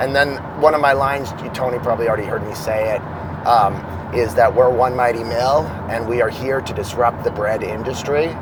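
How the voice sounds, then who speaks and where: At a fairly quick pace, a man speaks with medium pitch and fairly even intonation. Noticeable background noise and audible room echo are present. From Boston, US. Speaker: former school psychologist, field marketing director. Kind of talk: casual interview.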